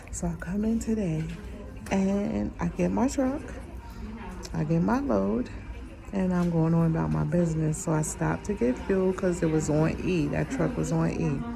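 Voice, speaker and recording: Whispering at very even loudness, a woman is heard with audible room echo and noticeable background noise. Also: moderate pace. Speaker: vlogger and truck driver. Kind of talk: casual vlog story time. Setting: urgent care waiting room.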